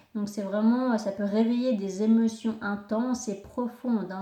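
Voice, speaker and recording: Over noticeable background noise, a woman speaks very slowly at a fairly high pitch with monotone, flat intonation. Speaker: astrology and tarot reader. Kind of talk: spiritual guidance talk. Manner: halting, many fillers.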